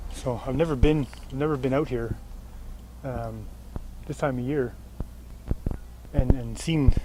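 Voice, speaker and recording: A man's medium-pitched voice goes at a moderate pace in a flat monotone, with noticeable noise behind him. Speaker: outdoor vlogger. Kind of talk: vlog narration. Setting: outdoors. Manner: casual, halting.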